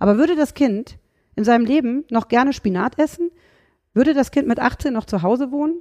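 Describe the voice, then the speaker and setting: In a Rhineland accent, a woman speaks at a fairly quick pace and high pitch with lively intonation and a dark, mellow tone, in a dry, close sound with no echo. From Rhineland, Germany. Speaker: dog trainer and animal psychologist. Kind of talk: podcast interview.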